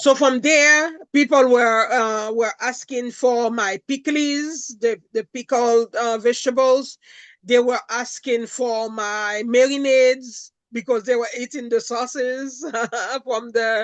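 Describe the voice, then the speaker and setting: A woman with a Haitian accent speaks at a very slow pace in a high pitch against a quiet background. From Haiti (Jérémie). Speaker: food entrepreneur. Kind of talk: interview. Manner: animated.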